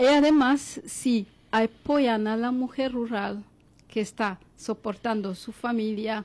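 A woman speaks at a fairly high pitch with lively intonation, recorded very cleanly against a silent background. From Congo. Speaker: philosophy professor. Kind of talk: interview.

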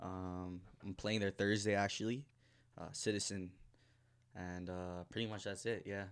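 A man speaks with a Toronto accent at a fairly low pitch. He talks at a fairly slow pace with long, frequent pauses. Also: fairly even intonation. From Toronto, Canada (Scarborough). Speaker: DJ. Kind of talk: casual chat.

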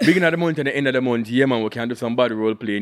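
The speech rushes along at a very fast pace with lively intonation. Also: man. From Jamaica. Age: 20s. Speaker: podcast guest co-host. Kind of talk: casual chat.

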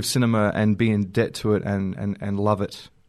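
A man talks in an Australian accent with fairly even intonation. The background is quiet. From South Australia (Normanville). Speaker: filmmaker. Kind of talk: interview. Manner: halting, many fillers and repeats.

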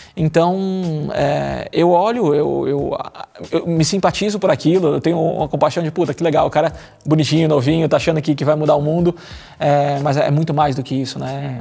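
With fairly even intonation, a man uses an ordinary speaking voice that sits fairly high in pitch. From Brazil, São Paulo. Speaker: marketing executive and lifestyle influencer. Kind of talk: casual chat. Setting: studio.

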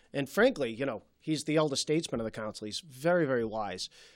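A man with a Boston accent speaks at a fairly high pitch with very wide swings in pitch, on a very clean recording with a silent background. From Malden, Massachusetts. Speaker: city councilor. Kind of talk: interview. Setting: studio.

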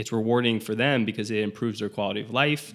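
Vocal fry with fairly even intonation. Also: man. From South Florida. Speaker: transplant pharmacist. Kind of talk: interview.

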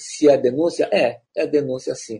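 A man is speaking. His pace is fairly slow. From Belém, Pará, Brazil. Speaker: writer and playwright. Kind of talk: interview. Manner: halting.

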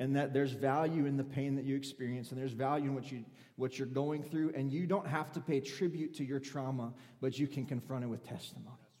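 Talking at a very fast pace, a man with a fairly high pitch and a dark, mellow tone keeps his intonation fairly even, with room echo audible. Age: 30s. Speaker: preacher. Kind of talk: sermon. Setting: church.

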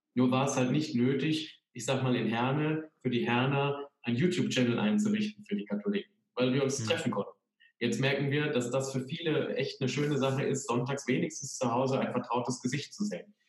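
Here a man speaks at a fairly quick pace in an ordinary speaking voice. His pitch is medium, with ordinary pitch variation. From Sauerland, Germany. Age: 30s. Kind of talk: interview.

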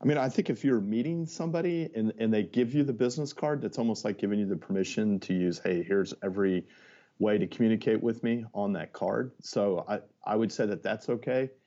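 A man speaks in a normal speaking voice at a medium pitch, moving at a fairly quick pace with lively intonation. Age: 50s. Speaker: media salesperson. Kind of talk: casual interview answers.

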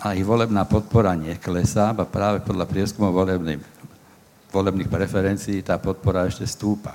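Speaking at a moderate pace, a man with a normal speaking voice keeps a fairly low pitch and fairly even intonation. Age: 60s. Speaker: activist exposing extremists. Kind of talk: panel discussion.

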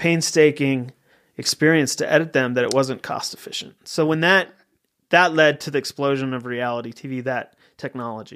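A man with a General American accent and a normal speaking voice talks at a fairly quick pace, fairly high in pitch with ordinary pitch variation. The recording is very clean, with a silent background. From Colorado, suburb of Denver. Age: 40s. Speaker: TV writer and producer. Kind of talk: casual interview chat. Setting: studio.

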